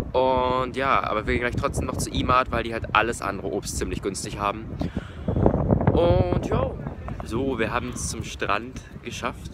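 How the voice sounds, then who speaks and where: A man is speaking. The sound is dry with no echo, but there is noticeable background noise. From Germany. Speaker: vegan travel vlogger; travel vlogger. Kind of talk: travel vlog narration. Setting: outdoors. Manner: casual, filler-heavy. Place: beach. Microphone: phone near.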